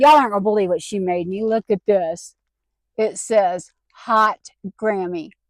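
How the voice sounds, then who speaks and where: A woman speaks at a moderate pace and medium pitch with ordinary pitch variation and long, frequent pauses, in a dry, close recording with no echo. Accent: Southern US. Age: 60s. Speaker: vanlife vlogger. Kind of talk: casual talk to camera.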